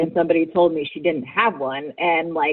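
In a normal speaking voice, a woman talks at a fairly low pitch. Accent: American. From Virginia, US South. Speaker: writer and fan activist. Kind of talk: interview.

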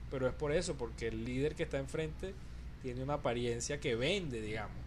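Audible room echo surrounds a man as he talks. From Venezuela. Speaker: podcast guest. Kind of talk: casual chat.

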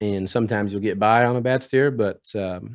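A man with a plain, everyday voice and an American accent speaks at a fairly low pitch with fairly even intonation, recorded very cleanly against a silent background. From Oklahoma. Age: 20s. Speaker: professional team roper. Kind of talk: casual interview.

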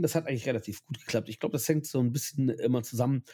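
A man's dark, mellow voice sits at a medium pitch with ordinary pitch variation. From Germany, Ahr valley (Rhineland-Palatinate). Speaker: LARP photographer. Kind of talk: casual chat. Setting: at a table with drinks, in person.

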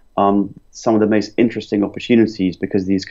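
With a London accent, a man speaks at a fairly quick pace. His pitch is fairly low. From London, England. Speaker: property investment company founder. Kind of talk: interview.

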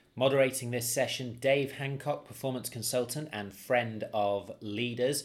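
This man has a plain, everyday voice at a medium pitch. He keeps a moderate pace with fairly even intonation. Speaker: podcast host. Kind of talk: podcast intro, casual chat.

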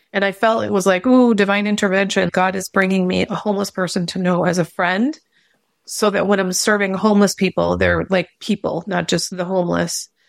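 In a normal speaking voice, a woman talks at a fairly quick pace with medium pitch and fairly even intonation. The sound is dry and close with no echo, a very clean recording over a silent background. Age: 50s. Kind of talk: casual chat.

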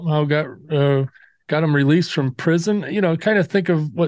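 A man with an ordinary speaking voice, fairly high in pitch with ordinary pitch variation, at a fairly quick pace, the sound dry and close with no echo against a quiet background. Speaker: podcast host. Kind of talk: casual podcast chat. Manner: relaxed, informal.

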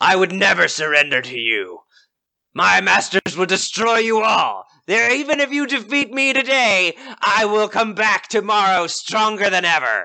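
A man speaks at a moderate pace in a put-on character voice, pitched high with lively intonation. The background is quiet. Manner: defiant, hateful, vowing revenge.

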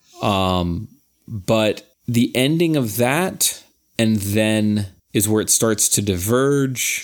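Fairly low in pitch, a man's voice carries the clip. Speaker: podcast co-host. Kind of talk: casual chat. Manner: halting.

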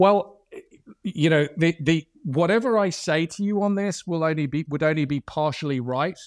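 With an Irish accent, a man speaks at a fairly high pitch and moderate pace, with ordinary pitch variation. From Ireland. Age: 50s. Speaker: telecom company CEO. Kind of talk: interview. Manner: halting, many fillers and restarts.

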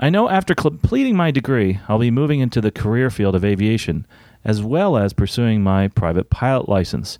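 The intonation is lively and the pace fairly quick. The tone is slightly mellow. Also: man, fairly low pitch for a man.

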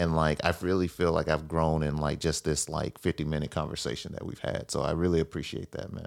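In a very clean recording with a silent background, a man with an American accent speaks at a very deep, low pitch in a monotone, flat intonation, at a fairly quick pace with hardly any pauses. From Mississippi, US South. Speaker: podcast host. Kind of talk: casual interview.

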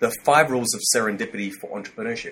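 With an Australian accent, a man speaks at a very fast pace. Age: 40s. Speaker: corporate training company director. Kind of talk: interview.

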